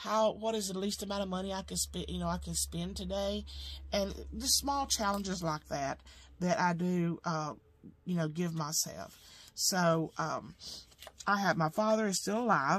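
A woman with an Alabama accent speaks at a moderate pace. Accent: Southern US (Alabama). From US South. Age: 50s. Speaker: home sewing business owner and budgeting vlogger; budget vlogger. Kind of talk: casual vlog monologue. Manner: halting, many fillers. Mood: calm, reflective. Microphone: camera far.

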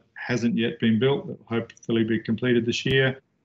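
A man with a New Zealand accent speaks with fairly even intonation. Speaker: architect. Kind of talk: lecture. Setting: video call. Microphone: video call.

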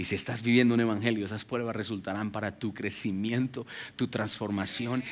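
Bright and sharp, a man's voice carries an animated tone at a moderate pace. Light background noise sits behind it. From Colombia (Ubaté, near Bogotá); Colombia. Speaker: pastor. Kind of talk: sermon. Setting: church with congregation. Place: stage. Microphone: headset.

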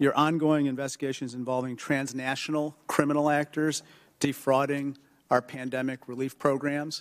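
A man talks with fairly even intonation against a quiet background. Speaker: witness. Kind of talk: hearing questioning. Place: hall. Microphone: podium.

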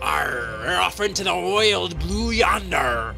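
Over loud music in the background, a man performs a put-on character voice at a fairly slow pace. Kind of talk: game voice pack lines. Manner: shouted, boisterous.

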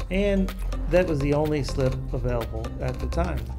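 Music plays in the background while the speaker talks at a moderate pace. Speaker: channel host narrator. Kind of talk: documentary narration.

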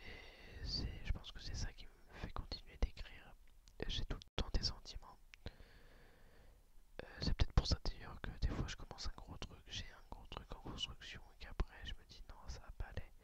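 Someone whispers at a moderate pace, leaving long, frequent pauses. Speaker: video blogger. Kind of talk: casual personal vlog chat. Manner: soft close-mic ASMR murmur. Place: home room. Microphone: studio mic.

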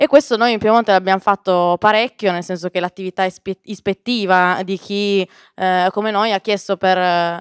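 Over a quiet background, a woman speaks in an unremarkable speaking voice at a medium pitch and a moderate pace, with fairly even intonation and a dry, close sound with no echo. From northern Italy. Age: 20s. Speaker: politician. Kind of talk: speech.

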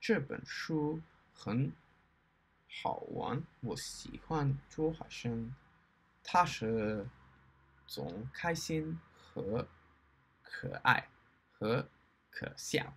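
The delivery is very slow, broken by long, frequent pauses. Its intonation is lively. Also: man. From Australia. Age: 20s. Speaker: Mandarin learner, YouTuber. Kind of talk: reading aloud / book review in learner Mandarin. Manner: slow, halting. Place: home room. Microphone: webcam.

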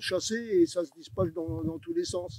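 Loud background noise runs under a man speaking at a moderate pace. The sound itself is dry, with no echo. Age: 70s. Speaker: fisherman. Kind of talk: interview answer. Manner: hesitant, halting. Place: beach.

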